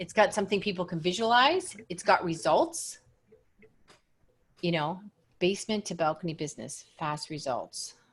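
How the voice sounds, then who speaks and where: A woman with a medium pitch speaks at a moderate pace in a somewhat breathy, animated tone. She uses ordinary pitch variation and takes long, frequent pauses. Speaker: business coach. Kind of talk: coaching call.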